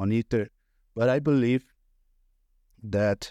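Recorded dry and close with no echo, the voice has a dark, mellow tone, fairly even intonation and a fairly slow pace. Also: man. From Brazil. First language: Portuguese. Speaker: crypto trader and researcher. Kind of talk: casual chat. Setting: video call. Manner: halting.

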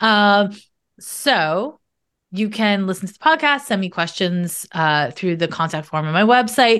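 A woman's unremarkable speaking voice, fairly slow in pace with lively intonation, against a quiet background. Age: 40s. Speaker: astrologer and psychic. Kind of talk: casual interview chat.

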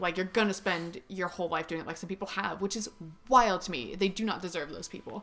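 Speaking very fast with an American accent, a woman uses a medium pitch and ordinary pitch variation. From Northern California, Marin County. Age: 20s. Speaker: singer. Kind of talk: casual chat. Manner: loud.

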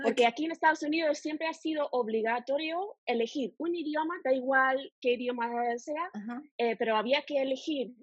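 In an English accent, a woman speaks at a moderate pace in a high voice with lively intonation. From United States. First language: English (speaking Spanish). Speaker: language teacher. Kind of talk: interview. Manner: halting.

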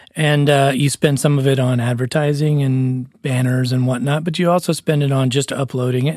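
A man's plain, everyday voice, medium in pitch, with fairly even intonation and a moderate pace. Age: 40s. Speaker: musician and podcast co-host. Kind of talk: casual chat.

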